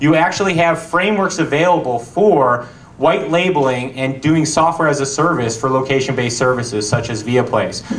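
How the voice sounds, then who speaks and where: Amid noticeable background noise and audible room echo, a man speaks at a fairly quick pace with a fairly high pitch and ordinary pitch variation. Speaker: company founder and presenter. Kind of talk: conference talk. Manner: fast.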